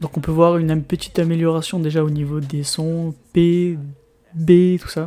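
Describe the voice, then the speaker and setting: Soft-spoken and monotone, a man talks at a fairly slow pace in a high pitch with flat intonation over noticeable background noise. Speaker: YouTuber reviewing gear. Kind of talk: unboxing tutorial. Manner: halting. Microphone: new USB mic, tested with foam and pop filter.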